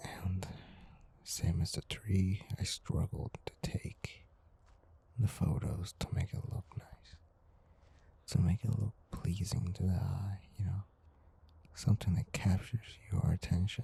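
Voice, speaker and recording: With long, frequent pauses, the whispering moves at a very slow pace. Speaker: amateur photographer. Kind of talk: ASMR narration. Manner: whispered, soft-spoken.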